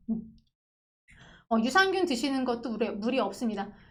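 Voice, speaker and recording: Audible room echo surrounds the voice. Its pitch swings very widely. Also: woman. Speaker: pharmacist. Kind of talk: online lecture with viewer Q&A. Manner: conversational, explanatory.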